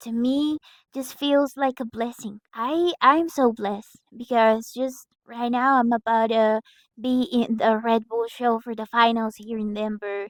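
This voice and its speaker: With a Mexican accent, the speaker goes at a fairly slow pace and fairly even intonation, captured dry and close with no echo in a very clean recording against a silent background. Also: woman. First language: Spanish. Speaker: breakdancer. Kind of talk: motivational vlog talk. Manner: halting.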